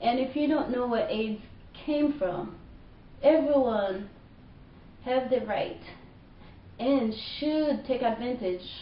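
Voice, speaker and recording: In a room with audible echo and noticeable background noise, a woman with a Haitian accent and fairly high pitch speaks at a fairly slow pace. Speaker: vlogger. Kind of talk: personal rant. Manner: animated.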